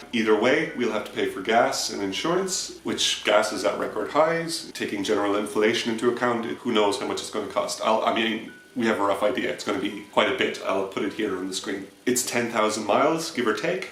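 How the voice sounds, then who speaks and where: Over noticeable background noise and audible room echo, a man talks at a fairly quick pace with hardly any pauses. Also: medium pitch for a man, lively intonation. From Ireland. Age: 30s. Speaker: musician. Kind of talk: crowdfunding appeal. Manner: casual.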